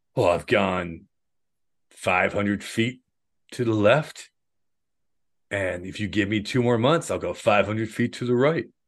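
A man puts on a raspy character voice, fairly low in pitch, moving at a fairly slow pace with long, frequent pauses. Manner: loud, yelling.

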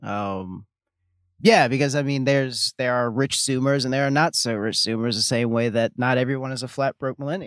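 In a plain, everyday voice, a man of medium pitch talks at a moderate pace with ordinary pitch variation, the sound dry and close with no echo. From US South, Louisiana (Baton Rouge). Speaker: podcast co-host. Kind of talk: casual chat.

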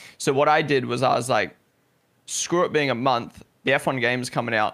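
Speaking with a slight New Zealand accent, a man at a medium pitch keeps a moderate pace, very even loudness, a bright, sharp tone and ordinary pitch variation. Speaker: esports content creator and streamer. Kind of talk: casual interview chat.

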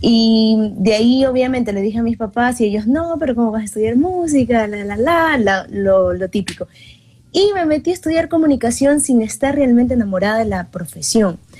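Dark, mellow tone with lively intonation at a moderate pace. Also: woman, fairly high pitch for a woman. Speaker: singer and journalist. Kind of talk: interview chat.

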